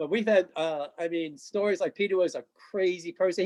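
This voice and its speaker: A man talks at a fairly quick pace in a high pitch with ordinary pitch variation. The sound is dry and close, with no echo. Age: 60s. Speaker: retired amateur rugby player. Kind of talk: casual chat.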